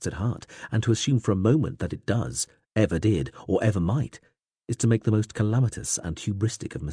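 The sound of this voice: Against a quiet background comes an unforced reading voice with ordinary pitch variation.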